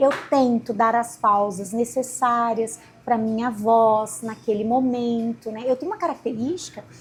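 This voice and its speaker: Speaking at a fairly slow pace, a woman uses an unremarkable speaking voice with fairly high pitch and ordinary pitch variation. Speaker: law professor and lawyer. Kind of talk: interview.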